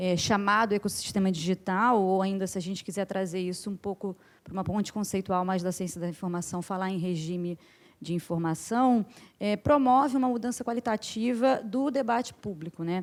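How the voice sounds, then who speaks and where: Here a woman talks in a normal speaking voice at a moderate pace. Her pitch is medium, with ordinary variation. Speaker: academic researcher, conference panelist. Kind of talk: conference panel talk. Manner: many fillers and self-corrections.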